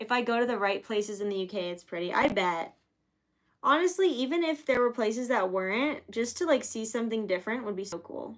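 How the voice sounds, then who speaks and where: An unremarkable speaking voice at a fairly quick pace, with lively intonation. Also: woman, fairly high pitch for a woman. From Florida, US South. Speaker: live-streaming sign painter. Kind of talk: casual livestream chat.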